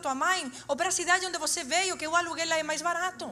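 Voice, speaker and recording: A woman talks at a very fast pace in an extremely high pitch. Her voice is raised and projected. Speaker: preacher. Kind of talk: sermon. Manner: animated.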